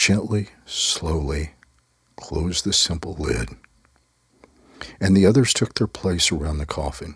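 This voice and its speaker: A man's somewhat breathy voice, very slow, with very wide pitch swings. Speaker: storyteller. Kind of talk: personal storytelling. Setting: live online video call.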